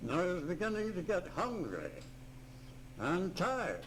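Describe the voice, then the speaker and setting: The speech moves at a fairly slow pace with ordinary pitch variation. Room echo is audible. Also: man. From Ireland. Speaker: retired missionary. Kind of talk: oral history storytelling. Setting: retirement home room. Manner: animated. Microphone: cassette recorder with tape crackle.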